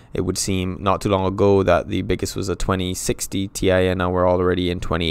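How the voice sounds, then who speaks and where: A man with a Barbadian accent speaks at a fairly quick pace on a very clean recording with a silent background. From Barbados. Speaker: tech streamer. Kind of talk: live stream talk.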